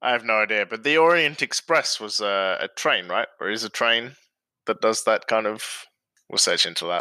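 Recorded very cleanly against a silent background, the dry, close sound with no echo carries a bright, sharp tone, lively intonation and a moderate pace. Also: man, medium pitch for a man. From Australia. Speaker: frequent contributor. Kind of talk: casual chat.

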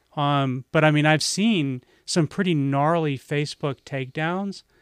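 An ordinary speaking voice moves at a moderate pace with ordinary pitch variation, in a dry, close, very clean recording with a silent background and no echo. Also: man. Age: 50s. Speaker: aikido practitioner. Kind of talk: casual chat.

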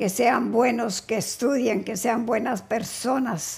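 Somewhat breathy, a woman talks at a very slow pace with ordinary pitch variation. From Colombia, Neiva (Huila), later Cali. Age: 80s+. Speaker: grandmother, interviewee. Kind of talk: casual family interview. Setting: no headphones, hard of hearing.

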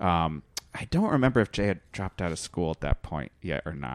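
Very deep and low, a man's voice carries an American accent. The sound is dry and close, with no echo. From Connecticut. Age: 30s. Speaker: musician and comedy teacher. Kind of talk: casual interview.

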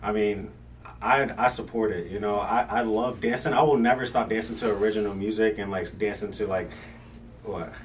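Speech comes at a fairly quick pace with fairly even intonation. Music plays in the background. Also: man, fairly low pitch for a man. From Brooklyn, raised in Virginia. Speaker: musician. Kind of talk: casual chat. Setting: studio.

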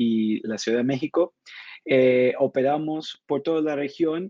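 In a dry, close recording with no echo, a man with a fairly high, dark and mellow voice speaks very slowly with ordinary pitch variation. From Argentina. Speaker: ad tech executive. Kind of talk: interview. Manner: hesitant, many fillers and repetitions.

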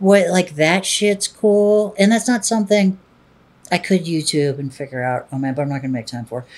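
A woman's unremarkable speaking voice, fairly low in pitch, with lively intonation at a moderate pace. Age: 40s. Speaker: adult film performer and director. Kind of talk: interview.

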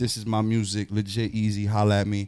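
A man's fairly low voice in a New York accent. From New York, Queens (Jackson Heights). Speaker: rapper. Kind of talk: casual chat. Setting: studio.

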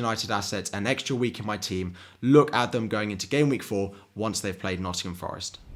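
The speaker has an English accent and talks at a fairly quick pace with ordinary pitch variation. The recording is very clean, the background silent. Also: man. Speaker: fantasy football YouTuber. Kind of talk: solo video commentary. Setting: home recording. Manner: uneven, pausing to drink water.

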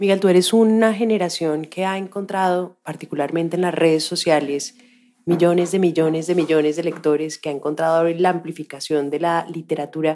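This woman's voice is fairly low with a dark, mellow tone. She talks at a fairly quick pace. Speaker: podcast host. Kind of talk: interview.

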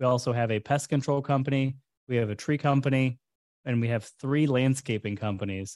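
A man with a plain, everyday voice and medium pitch talks at a fairly quick pace in a very clean recording with a silent background. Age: 30s. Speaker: entrepreneur. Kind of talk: interview.

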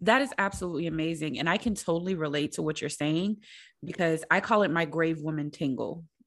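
Against a quiet background, a woman speaks at a fairly quick pace in a fairly low voice. Her tone is enthusiastic. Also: ordinary pitch variation. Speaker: podcast host. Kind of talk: casual interview chat. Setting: video call. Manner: enthusiastic, laughs often.

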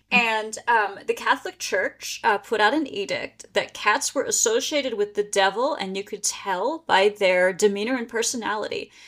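A woman with an American accent speaks at a moderate pace and fairly high pitch, with ordinary pitch variation and hardly any pauses. She has a plain, everyday voice. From Pennsylvania. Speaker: history and paranormal tour guide. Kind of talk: casual interview.

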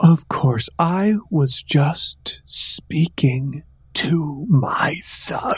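A man performs a put-on character voice. He delivers it at a very slow pace. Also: fairly high pitch for a man. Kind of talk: regal formal speech. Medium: actual play. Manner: stilted, falsely gracious.

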